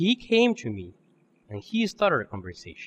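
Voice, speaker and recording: Male voice with a Spanish accent at a moderate pace, dry and close with no echo. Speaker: public speaking contestant. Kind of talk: contest speech.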